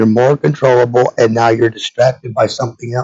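The voice shows vocal fry, a slightly mellow tone and a slightly husky edge. It moves at a moderate pace with little pitch movement. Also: man.

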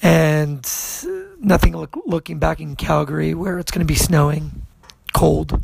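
A man speaks at a fairly slow pace with long, frequent pauses. Noticeable background noise runs underneath. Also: big swings in loudness. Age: 40s. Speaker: DJ and podcast host. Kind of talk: casual podcast monologue.

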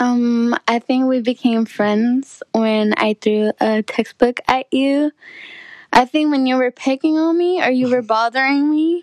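A woman with an American accent talks at a fairly slow pace in a high pitch with ordinary pitch variation. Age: 20s. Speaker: college student. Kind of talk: casual chat.

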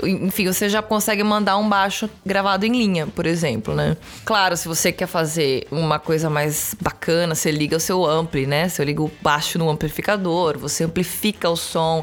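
Moderately paced speech with hardly any pauses, very even loudness and ordinary pitch variation, amid noticeable background noise. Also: woman, fairly low pitch for a woman. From Brazil, São Paulo city. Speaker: bassist, singer and songwriter. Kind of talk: casual chat.

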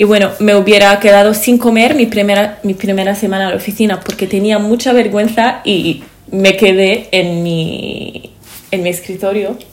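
Noticeable background noise sits behind this recording. A woman speaks with fairly even intonation. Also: medium pitch for a woman, moderate pace. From Lebanon. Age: 20s. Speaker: podcast co-host, interior architect. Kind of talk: casual chat. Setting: seated at a table.

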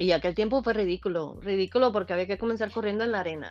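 A woman talks at a very fast pace with fairly even intonation. Her pitch sits in the medium range. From eastern Cuba (Holguín). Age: 40s. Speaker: amateur runner. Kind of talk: casual interview.

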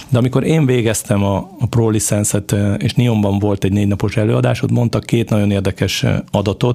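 The speaker uses lively intonation at a fairly quick pace, keeping the loudness very even. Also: man, fairly low pitch for a man. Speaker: football club sporting director, former international player. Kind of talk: interview. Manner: halting, many repeated fillers.

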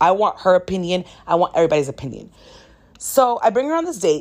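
Animated in tone, a woman speaks fairly quickly at a medium pitch with very wide pitch swings, in a very clean recording with a silent background. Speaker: solo podcast host. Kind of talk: casual monologue.

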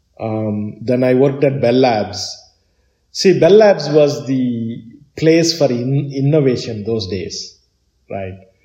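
A man's dark, mellow, somewhat breathy voice at medium pitch, very slow in pace, with lively intonation and audible room echo. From southern India, Chennai. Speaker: tech entrepreneur. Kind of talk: interview. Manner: halting.

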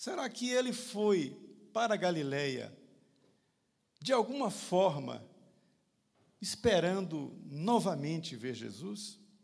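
In a room with audible echo, a man talks at a very slow pace with long, frequent pauses, his high pitch ranging through very wide swings. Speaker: lay preacher and physician. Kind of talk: sermon.

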